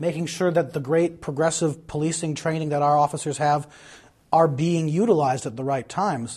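Somewhat breathy speech comes at a fairly quick pace on a very clean recording with a silent background. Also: man. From Madison, Wisconsin. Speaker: political candidate. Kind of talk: candidate interview.

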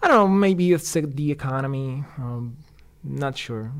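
Speaking at a moderate pace, a man talks with a Puerto Rican accent. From Puerto Rico. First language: Spanish. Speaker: street design engineer. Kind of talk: interview, casual conversation. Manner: halting, hesitant with fillers.

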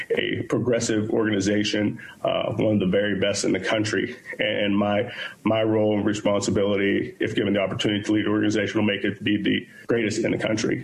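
Audible room echo carries a man's fairly low voice, delivered with monotone, flat intonation and very even loudness. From Pittsburgh, Pennsylvania. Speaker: police chief candidate. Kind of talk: job interview. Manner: halting, many repeated words and fillers.

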